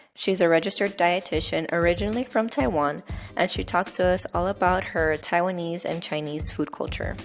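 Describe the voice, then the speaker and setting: With music playing behind her, a woman talks at a fairly quick pace in a fairly low pitch, her pitch varying in an ordinary way. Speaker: podcast host. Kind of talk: podcast intro.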